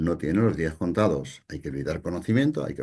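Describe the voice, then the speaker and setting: Over a quiet background, a man with a dark, mellow tone and vocal fry talks at a fairly quick pace. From Spain, Palencia (Castile). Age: 60s. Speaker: psychologist and conference speaker. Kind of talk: lecture. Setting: online conference.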